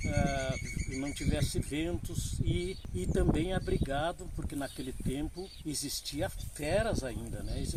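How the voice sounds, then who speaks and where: A man speaks at a very slow pace, noticeable background noise audible behind him. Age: 80s+. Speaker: elderly local storyteller. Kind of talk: oral history interview. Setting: outdoors under a tree.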